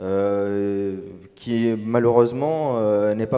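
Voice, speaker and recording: A man talks at a medium pitch while music plays behind him. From Tunisia. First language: Arabic (speaking French). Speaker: novelist. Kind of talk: panel discussion. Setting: stage with audience. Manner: hesitant, many fillers.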